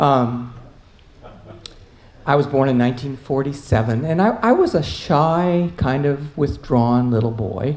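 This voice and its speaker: A woman with an American accent speaks in a very deep, low voice with lively intonation. She leaves long, frequent pauses, and the room echo is audible. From US South, Atlanta. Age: 70s. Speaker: panelist. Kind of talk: conference panel talk. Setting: conference panel with audience. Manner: halting.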